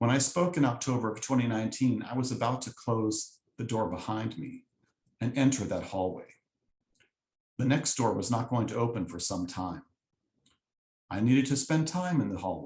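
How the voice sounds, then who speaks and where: Somewhat breathy speech moves at a moderate pace with ordinary pitch variation and long, frequent pauses. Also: man, medium pitch for a man. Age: 50s. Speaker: lay speaker, copy editor. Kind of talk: sermon-style talk.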